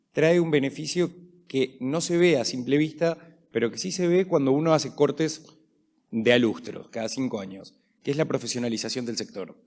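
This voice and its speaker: Speaking with an Argentine accent, a man keeps a moderate pace and lively intonation. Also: fairly high pitch for a man. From Argentina. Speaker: panel moderator. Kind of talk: panel discussion.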